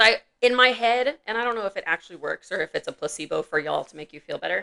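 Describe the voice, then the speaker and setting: A woman at a very fast pace, with big swings in loudness and a dry, close sound with no echo. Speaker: veterinarian podcast co-host. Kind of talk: casual podcast chat.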